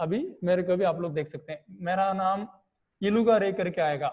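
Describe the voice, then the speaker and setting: A man speaks at a high pitch with a Tamil accent. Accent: non-native Hindi, Tamil speaker. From Tamil Nadu, India. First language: Tamil (speaking Hindi). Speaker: online teacher. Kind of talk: online class lecture. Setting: video call.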